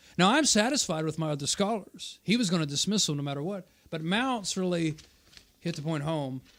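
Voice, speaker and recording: With lively intonation and a pitch that runs high, a man talks at a fairly quick pace. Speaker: channel host and debater. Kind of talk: live stream debate review. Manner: fast.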